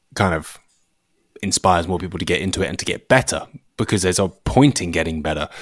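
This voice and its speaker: In an English accent, a man speaks with a very deep, low voice and ordinary pitch variation. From England. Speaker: shooting YouTuber, former gunsmith. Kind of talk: casual chat.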